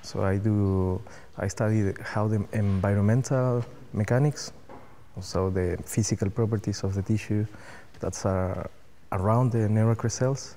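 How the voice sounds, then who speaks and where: Dark, mellow tone from a man with a Spanish accent, fairly low pitch and fairly even intonation. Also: moderate pace. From Chile. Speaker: cell biologist. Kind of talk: interview. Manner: halting.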